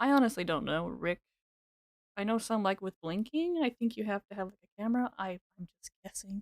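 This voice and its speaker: A normal speaking voice: a woman at medium pitch with lively intonation and a fairly quick pace. Her loudness swings widely, and the sound is dry and close with no echo. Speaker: game streamer. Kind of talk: casual live-stream chat. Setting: live stream.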